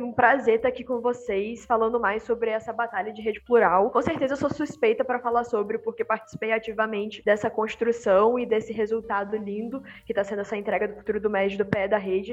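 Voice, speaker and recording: With noticeable background noise behind her, a woman speaks at a fairly quick pace with hardly any pauses, her fairly high pitch held in a monotone, flat intonation. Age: 20s. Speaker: youth organization president. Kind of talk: podcast interview.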